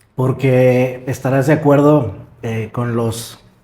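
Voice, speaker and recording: Somewhat breathy with a dark, mellow tone, a man speaks at a fairly high pitch with fairly even intonation. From Mexico, Morelia. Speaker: podcast host. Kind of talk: interview.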